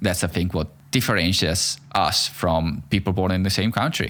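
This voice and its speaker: The recording is very clean, with a silent background. A man with an Italian accent speaks at a very deep, low pitch. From Italy. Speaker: podcast host. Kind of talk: casual interview conversation.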